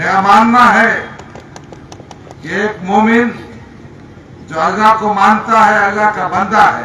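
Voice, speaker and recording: A man's raised, projected, high-pitched voice with audible room echo and noticeable background noise. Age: 60s. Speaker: politician. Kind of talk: political rally speech. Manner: animated.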